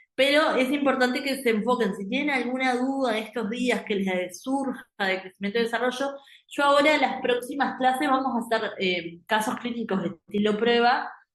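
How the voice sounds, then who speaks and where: A high-pitched woman's voice at a moderate pace, with hardly any pauses and ordinary pitch variation. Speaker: medical exam prep teacher. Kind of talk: lecture. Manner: hesitant, many fillers.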